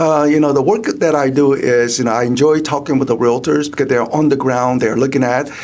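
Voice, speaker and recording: A man with a Korean accent speaks fairly quickly with hardly any pauses, fairly even intonation and very even loudness, amid noticeable background noise and audible room echo. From South Korea. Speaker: economist. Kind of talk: interview. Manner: halting, many fillers.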